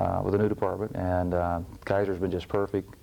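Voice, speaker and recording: Speaking fairly quickly, a man with a slight Texas accent has a dark, mellow tone, a very deep, low pitch and a monotone, flat intonation. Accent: slight Texas twang. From Texas, Houston. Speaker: police chief. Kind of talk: interview. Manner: hesitant, many fillers.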